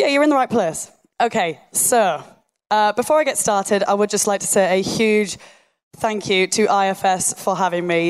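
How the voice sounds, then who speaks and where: Speaking with a Yorkshire accent, a woman at a medium pitch uses lively intonation at a moderate pace on a very clean recording with a silent background. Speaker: site engineer and online fitness coach. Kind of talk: live talk to an audience. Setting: stage with audience.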